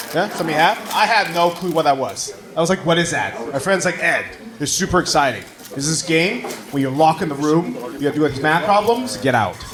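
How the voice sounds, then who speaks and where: Over noticeable background noise and audible room echo, a man with a fairly high pitch talks at a fairly quick pace with ordinary pitch variation. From Taiwan. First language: Mandarin. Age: 30s. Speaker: stand-up comedian. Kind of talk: stand-up. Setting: stage with audience.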